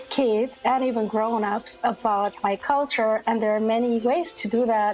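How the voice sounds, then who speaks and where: Music plays behind a woman with an Armenian accent, fairly high pitch and ordinary pitch variation. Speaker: children's book author. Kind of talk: casual chat with kids.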